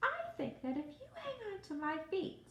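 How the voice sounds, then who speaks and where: Using a put-on character voice, a woman speaks at a moderate pace in an extremely high, squeaky pitch, with very wide pitch swings, big swings in loudness and a slight echo. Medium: read story. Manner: practical, matter-of-fact.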